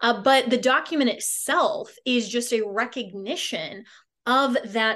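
A woman talks at a fairly slow pace in a fairly high voice. She has an unremarkable speaking voice. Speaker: radio host. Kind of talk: radio talk show.

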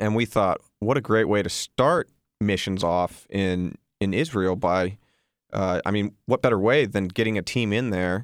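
A plain, everyday voice speaks at a fairly slow pace with ordinary pitch variation. The recording is very clean with a silent background and a dry, close sound with no echo. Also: man. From Texas, raised in Colorado. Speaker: missionary. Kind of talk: radio interview. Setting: studio.

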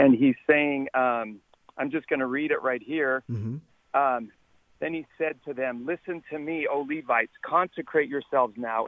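Fairly high-pitched, a man speaks in a plain, everyday voice with an American accent. His pace is moderate and his intonation fairly even. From Texas. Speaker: caller. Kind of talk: casual chat. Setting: phone call.

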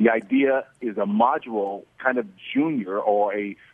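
Fairly even intonation from a man with a normal speaking voice and a medium pitch. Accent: American. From Oklahoma. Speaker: former NFL player, awards organizer. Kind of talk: radio interview.

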